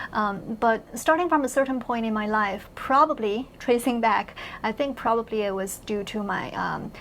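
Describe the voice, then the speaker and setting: Over noticeable background noise, a woman with a Chinese accent talks at a moderate pace with hardly any pauses, her fairly high pitch showing ordinary variation. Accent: Mandarin Chinese accent in English. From mainland China. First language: Mandarin Chinese. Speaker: university professor. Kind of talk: interview conversation. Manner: hesitant, many fillers and repeats.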